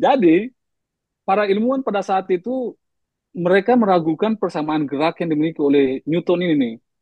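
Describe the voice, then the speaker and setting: A man speaks at a fairly quick pace with an eastern Indonesian accent. His voice sits high for a man, with lively intonation. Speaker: science communicator. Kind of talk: discussion podcast. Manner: halting with fillers.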